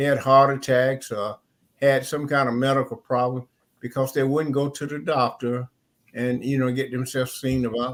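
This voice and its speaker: Monotone, flat intonation from a man with a medium-pitched voice. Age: 80s+. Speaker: elderly heart attack survivor guest. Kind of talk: panel discussion testimony. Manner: rambling conversational.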